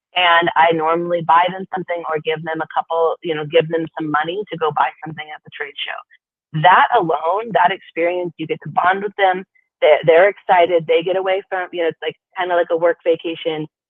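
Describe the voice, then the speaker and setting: Talking fairly quickly, a woman with a fairly low voice keeps a flat, monotone delivery while her loudness rises and falls sharply. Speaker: mobile pet grooming business owner. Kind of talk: casual interview. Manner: halting, with fillers and restarts.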